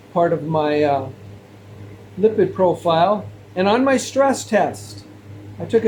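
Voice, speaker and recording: A man's high voice with very wide pitch swings, a very slow pace and long, frequent pauses, over noticeable background noise. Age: 60s. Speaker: health vlogger. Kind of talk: monologue to camera.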